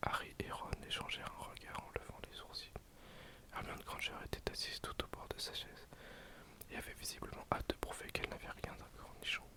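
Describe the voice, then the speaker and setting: Whispering at a fairly quick pace comes through noticeable background noise. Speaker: ASMR creator. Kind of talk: read story. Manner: whispered.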